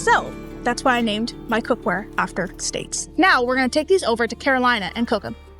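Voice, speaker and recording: Music plays in the background as a woman with a high pitch talks at a fairly quick pace, her intonation lively. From United States. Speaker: home cook. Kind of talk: casual cooking tutorial to camera. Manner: folksy, friendly.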